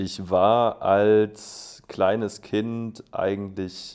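His intonation stays monotone and flat. The man's pitch sits fairly low. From Swabia, Germany (Schorndorf). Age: 20s. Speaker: aerobatic glider pilot and student. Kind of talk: casual interview.

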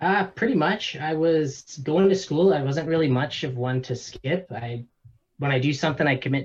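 A man with a Canadian accent speaks at a moderate pace in a somewhat breathy voice. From Canada. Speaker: online seller and entrepreneur. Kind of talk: casual interview.

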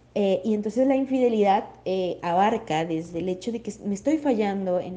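Pitch varies in an ordinary way across a dark, mellow tone. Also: woman. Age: 20s. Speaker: psychologist. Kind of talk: educational talk. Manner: hesitant, many fillers.

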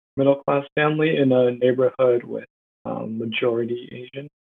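This is a man with an American accent and a plain, everyday voice. His pitch is medium. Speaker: university student. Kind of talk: podcast interview.

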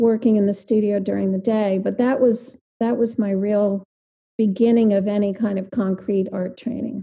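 The voice has a dark, mellow tone, sounds somewhat breathy and stays monotone and flat in intonation. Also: woman. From New Jersey. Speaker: visual artist. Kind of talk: casual interview.

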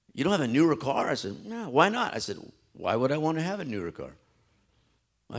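A man's fairly high voice with vocal fry and very wide pitch swings, on a very clean recording with a silent background. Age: 40s. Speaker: pastor. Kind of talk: sermon. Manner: animated.

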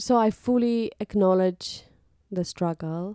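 In a Romanian accent, a woman speaks with a dark, mellow tone and fairly even intonation, in a dry, close sound with no echo on a very clean recording with a silent background. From Moldova. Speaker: podcast co-host. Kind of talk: casual chat. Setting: home recording.

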